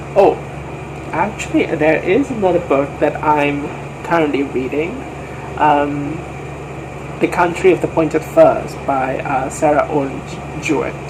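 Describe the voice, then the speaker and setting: A man's fairly high-pitched voice at a fairly slow pace, fairly even in intonation, with long, frequent pauses and noticeable background noise. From Malaysia. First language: not English. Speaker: book vlogger. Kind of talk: casual chat. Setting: at home. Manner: halting, many fillers.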